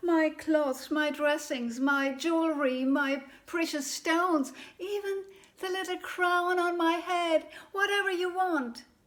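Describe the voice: The put-on character voice has a fairly bright tone, a slow pace and fairly even intonation. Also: woman, extremely high pitch for a woman.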